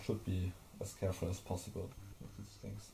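A man with a slight German accent speaks in a dark, mellow, somewhat breathy tone over light background noise. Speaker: hardware tinkerer. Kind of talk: casual tutorial talk to camera. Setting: recorded on camera mic. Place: workshop. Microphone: camera far.

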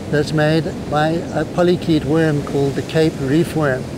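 A man's monotone, flat delivery at a moderate pace, a dry sound with no echo amid noticeable background noise. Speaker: presenter. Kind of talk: tutorial. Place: beach.

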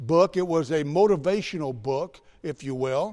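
A man's dark, mellow voice against a quiet background. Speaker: preacher. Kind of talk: sermon. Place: church.

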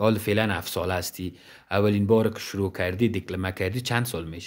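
A man talking at a very fast pace, fairly low-pitched, against a quiet background. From Afghanistan. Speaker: interviewer. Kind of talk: casual interview. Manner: animated. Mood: warm, encouraging. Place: home room. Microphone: handheld.

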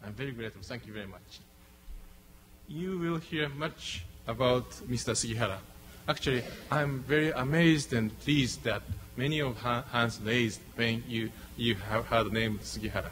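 With music in the background, a man with a Japanese accent speaks at medium pitch and a moderate pace, using ordinary pitch variation, big swings in loudness, and long, frequent pauses. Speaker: diplomat. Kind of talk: formal speech. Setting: stage with audience. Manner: halting. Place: hall. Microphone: podium.

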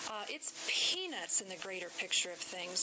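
Over clear background noise, a woman talks at a medium pitch.

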